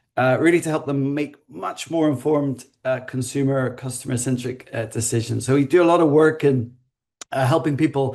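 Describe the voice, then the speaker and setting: The speaker has a Northern Irish accent and a moderate pace. The intonation is monotone and flat. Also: man. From Northern Ireland. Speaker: design consultancy founder. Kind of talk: webinar panel introduction.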